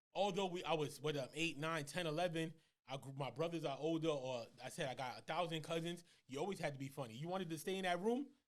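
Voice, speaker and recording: A man speaks at a very fast pace with fairly high pitch. His pitch varies in an ordinary way. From New York, Lower East Side, Puerto Rican family. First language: Spanish. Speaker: comedian. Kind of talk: casual chat.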